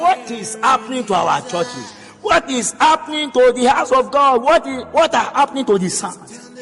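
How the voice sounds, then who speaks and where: Through noticeable background noise, a man with an extremely high pitch and lively intonation talks at a fairly slow pace. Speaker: preacher. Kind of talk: sermon.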